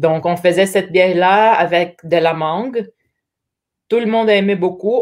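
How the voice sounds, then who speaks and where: A woman speaks at a medium pitch and a fairly slow pace, with fairly even intonation. The recording is very clean, with a silent background. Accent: Portuguese. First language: Portuguese (speaking French). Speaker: brewery representative. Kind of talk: casual interview chat. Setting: live stream.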